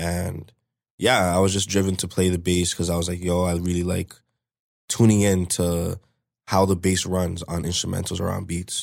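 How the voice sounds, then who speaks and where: With a Toronto accent, a man speaks at a moderate pace in a very deep, low pitch and monotone, flat intonation, on a very clean recording with a silent background. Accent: Toronto-area Canadian English. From Canada, Brampton, Ontario. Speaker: rapper. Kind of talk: casual interview.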